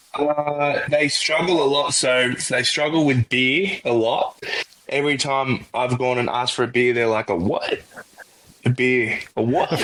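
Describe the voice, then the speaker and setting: Someone with an Australian accent speaks at a fairly slow pace, with very even loudness, ordinary pitch variation and noticeable background noise. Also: man, fairly high pitch for a man. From Australia, Melbourne. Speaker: college football punter. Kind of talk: podcast interview. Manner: casual, hesitant fillers.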